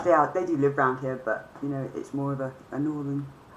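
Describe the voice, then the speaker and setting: Speaking fairly quickly, a woman has a very deep, low voice. Audible room echo and noticeable background noise surround her. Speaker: vlogger. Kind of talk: casual monologue. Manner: hesitant, many fillers.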